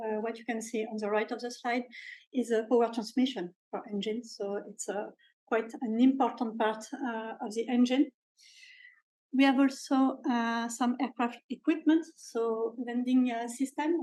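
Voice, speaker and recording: A dark, mellow tone with a French accent, moderate pace and fairly even intonation. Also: woman, high pitch for a woman. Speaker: industrial research scientist. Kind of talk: seminar talk. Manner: halting, many filler sounds.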